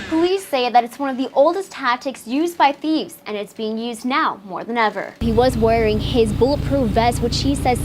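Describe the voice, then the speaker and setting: A woman's high-pitched, fairly quick voice with lively intonation, over noticeable background noise. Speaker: TV news reporter. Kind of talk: TV news reporting, stand-ups and packages.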